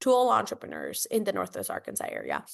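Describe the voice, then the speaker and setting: There is a Spanish accent in this woman's speech. Behind her, the background is quiet. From Costa Rica, San Jose. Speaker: nonprofit leader. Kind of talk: interview.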